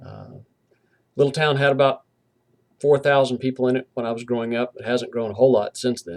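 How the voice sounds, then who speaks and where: Fairly quick speech with long, frequent pauses, big swings in loudness and fairly even intonation, in a dry, close sound with no echo. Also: man, medium pitch for a man. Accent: slight Southern US. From US South, southwestern Virginia. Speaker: university professor. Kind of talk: lecture. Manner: hesitant, with fillers.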